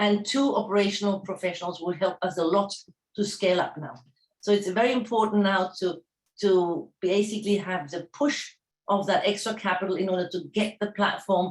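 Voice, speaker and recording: This woman talks at a moderate pace in a German accent, her medium-pitched voice keeping a fairly even intonation. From Germany. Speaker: startup founder. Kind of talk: pitch presentation. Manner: halting.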